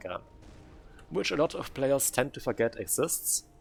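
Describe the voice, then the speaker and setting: A man is speaking. Music plays in the background. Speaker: game caster. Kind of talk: live commentary. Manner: halting.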